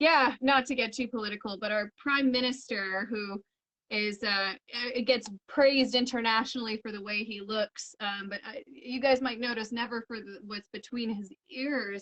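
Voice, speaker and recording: With a western Canadian accent, a woman talks at a moderate pace and fairly high pitch in a bright, sharp tone, with fairly even intonation, big swings in loudness and hardly any pauses. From Canada, Edmonton, Alberta. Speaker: illustrator and coloring book publisher. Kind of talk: casual chat. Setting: live video stream.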